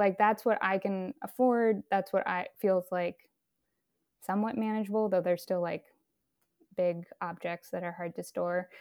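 A woman with an American accent talks at a fairly slow pace and a medium pitch, in a dry, close sound with no echo on a very clean recording with a silent background. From US West Coast (San Francisco Bay Area). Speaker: artist. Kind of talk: interview. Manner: halting, many fillers.

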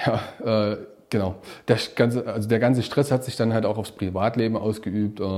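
A man's dark, mellow voice holds a monotone, flat intonation. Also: medium pitch for a man, moderate pace. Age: 30s. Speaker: self-employed financial adviser, coaching client. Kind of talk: casual interview testimony.

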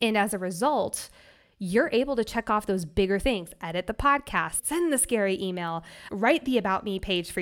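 This is an ordinary speaking voice from a woman at a medium pitch, with lively intonation and a moderate pace. The recording is very clean, with a silent background. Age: 20s. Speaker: life coach. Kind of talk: casual interview.

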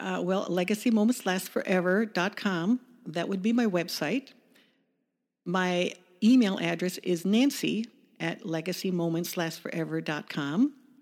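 A woman with a plain, everyday voice, moderate pace and ordinary pitch variation. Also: medium pitch for a woman, very clean recording, silent background. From US Midwest, Chicago suburbs. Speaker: small business owner. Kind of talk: interview.

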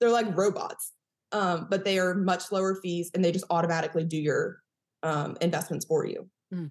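A woman with an American accent, medium in pitch, her intonation fairly even. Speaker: chiropractor and personal finance coach. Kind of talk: casual interview chat. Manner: fast talker.

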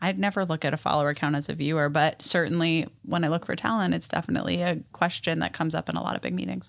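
On a very clean recording with a silent background, a woman with an American accent talks at a very fast pace in a very deep, low pitch, with vocal fry and lively intonation. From New York City. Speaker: television producer. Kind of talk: casual interview.

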